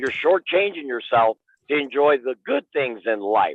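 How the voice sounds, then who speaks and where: A man speaks at a fairly quick pace. His tone is animated and his intonation lively. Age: 60s. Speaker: livestream guest, supportive father figure. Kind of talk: casual chat.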